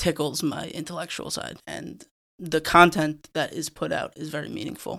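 A man's fairly high voice with vocal fry, an American accent, fairly even intonation and a moderate pace. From New York (Rockland County). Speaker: podcast co-host and editor. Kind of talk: casual chat.

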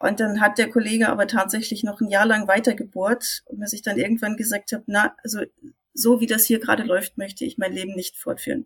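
At a fairly quick pace, the somewhat breathy voice stays fairly even in intonation while its loudness swings widely. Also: woman, fairly high pitch for a woman. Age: 50s. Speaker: IT consultant. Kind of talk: casual chat.

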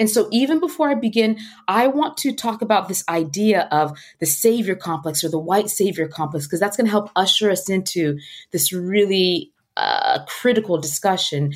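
A woman at a medium pitch with an American accent, a normal speaking voice, lively intonation and a moderate pace. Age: 30s. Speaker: nonprofit founder and educator. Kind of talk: interview.

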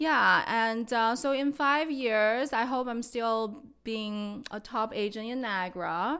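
A woman's very slow, fairly high-pitched voice with a bright, sharp tone and a Chinese accent, on a very clean recording with a silent background. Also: ordinary pitch variation. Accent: Mandarin Chinese accent in English. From China, Beijing. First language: Mandarin Chinese. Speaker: real estate agent. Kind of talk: casual interview.

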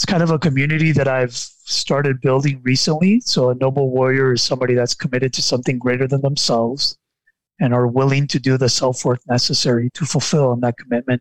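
Very fast speech comes from a man with a Spanish accent and a medium-pitched voice. His loudness stays very even and his intonation fairly even. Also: dry, close sound with no echo. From Nicaragua. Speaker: life and mindset coach. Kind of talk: podcast interview. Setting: studio.

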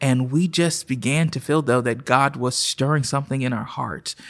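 Recorded very cleanly against a silent background, a man talks in a normal speaking voice at a medium pitch with fairly even intonation. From Oklahoma City. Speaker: pastor. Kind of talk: casual interview.

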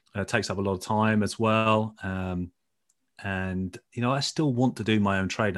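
A fairly low-pitched man with a British accent against a quiet background. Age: 50s. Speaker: former footballer turned trader and coach. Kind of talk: interview.

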